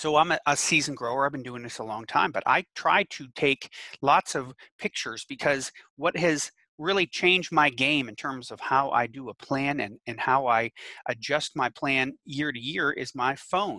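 The sound is dry with no echo as a man, bright and sharp in tone, shows big swings in loudness and ordinary pitch variation. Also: moderate pace, quiet background. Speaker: extension educator. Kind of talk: webinar lecture. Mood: friendly, anecdotal. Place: home room. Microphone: headset.

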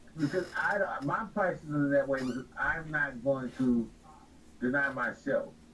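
With noticeable background noise behind him, a man with an American accent speaks at a fairly slow pace in a fairly high pitch, with ordinary pitch variation. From Los Angeles, California. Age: 40s. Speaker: t-shirt business owner. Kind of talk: interview.

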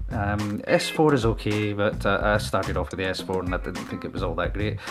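The speaker talks in a Scottish accent while clear music plays in the background. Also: man. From Scotland. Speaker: vlogger. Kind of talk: casual talk to camera. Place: home room. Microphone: handheld.

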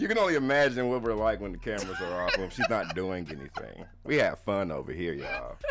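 Talking at a very fast pace with hardly any pauses, the voice comes over noticeable background noise. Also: man. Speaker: livestream co-host reading viewer comments. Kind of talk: casual, slangy.

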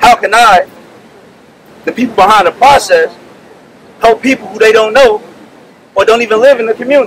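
Fairly quick, high-pitched speech from a man with an American accent, dry with no echo, over light background noise. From US Midwest. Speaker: veteran and business applicant. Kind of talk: rally speech. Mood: aggrieved, determined. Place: street. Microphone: podium.

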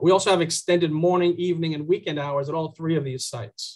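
A man talks at a fairly quick pace in a high pitch. The background is quiet. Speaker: presenter. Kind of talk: presentation briefing. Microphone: video call.

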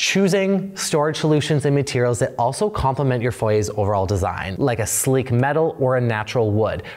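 Amid noticeable background noise, a man of medium pitch speaks with very wide pitch swings, very even loudness and hardly any pauses. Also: fairly quick pace. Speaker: interior design YouTuber. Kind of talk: tutorial. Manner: animated.

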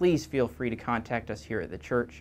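A man's vocal fry at a moderate pace, with lively intonation. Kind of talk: church announcement to parents. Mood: warm, upbeat, friendly. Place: church. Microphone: lapel.

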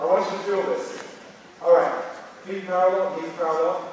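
A man talks at a high pitch with fairly even intonation. Strong room echo surrounds his voice.

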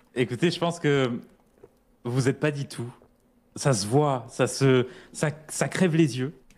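A man at a very slow pace, with ordinary pitch variation and long, frequent pauses. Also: medium pitch for a man. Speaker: fellow gamer. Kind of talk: casual gaming roleplay chat.

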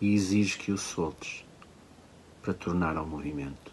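A man with a very deep, low pitch speaks over light background noise. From Portugal. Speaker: poet. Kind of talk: poetry reading. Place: home room. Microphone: phone near.

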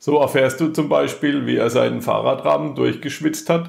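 A man at a moderate pace. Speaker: podcast host. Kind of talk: podcast intro.

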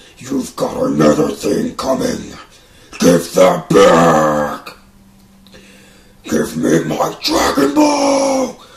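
Putting on a character voice, a man speaks at a very slow pace with long, frequent pauses. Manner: menacing, arrogant.

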